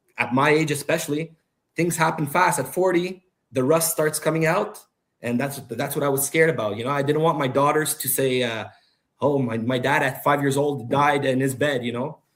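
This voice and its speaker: This man has a fairly high pitch and fairly even intonation, speaking at a moderate pace in a normal speaking voice. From Ottawa-Gatineau region, Canada. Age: 40s. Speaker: podcast guest, DJ. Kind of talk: casual chat.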